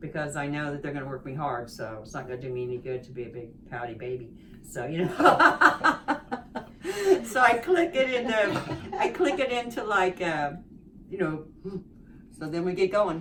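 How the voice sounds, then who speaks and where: Over noticeable background noise, a woman with a very deep, low pitch speaks at a moderate pace, her pitch swinging very widely and her loudness shifting greatly, with long, frequent pauses. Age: 60s. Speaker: rehabilitation patient. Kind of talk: interview. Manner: halting.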